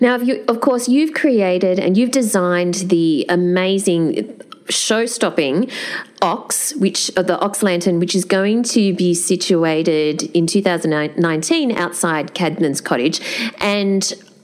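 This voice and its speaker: Speaking very slowly with an Australian accent, a woman uses lively intonation at a medium pitch and very even loudness, with noticeable background noise behind her. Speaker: podcast host and festival curator. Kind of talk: interview.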